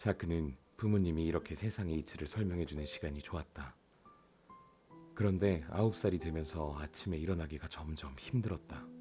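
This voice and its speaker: A man's very deep, low voice at a moderate pace with ordinary pitch variation, music in the background. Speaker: audiobook narrator. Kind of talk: audiobook reading.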